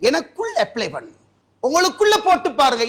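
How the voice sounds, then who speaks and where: The voice is raised and projected, with lively intonation and a bright, sharp tone. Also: man. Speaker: Islamic preacher giving a Friday sermon. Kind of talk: Friday sermon (khutbah / bayan) delivered in a mosque. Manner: earnest, exhortative, direct address to the audience.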